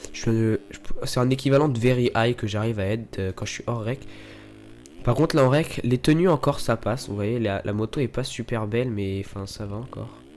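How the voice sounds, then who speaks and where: A man speaks at a fairly quick pace with music in the background. His pitch is medium, with ordinary pitch variation. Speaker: gaming YouTuber. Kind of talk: gameplay commentary. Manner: fast; casual, hesitant.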